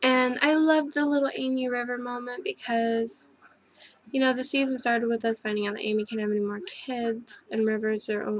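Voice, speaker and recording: High-pitched female speech, fairly quick, with ordinary pitch variation amid noticeable background noise. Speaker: video reviewer. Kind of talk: casual TV episode review. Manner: halting, many fillers and restarts.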